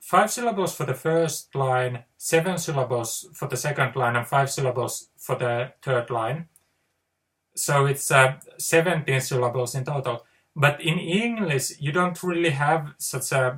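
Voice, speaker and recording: A man speaking with a Finnish accent at a fairly slow pace. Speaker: poet. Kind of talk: casual monologue. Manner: halting; unscripted.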